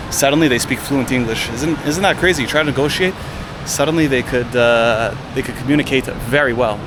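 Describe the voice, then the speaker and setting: A man's very fast, medium-pitched voice with a Canadian accent, ordinary pitch variation, audible room echo and noticeable background noise. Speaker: travel vlogger. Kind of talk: travel vlog narration. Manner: casual, conversational.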